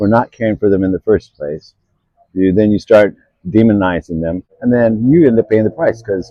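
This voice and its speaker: A man speaks at a moderate pace with a fairly low pitch and ordinary pitch variation. His is an unremarkable speaking voice. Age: 60s. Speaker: homeless man interviewed on the street. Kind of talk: street interview.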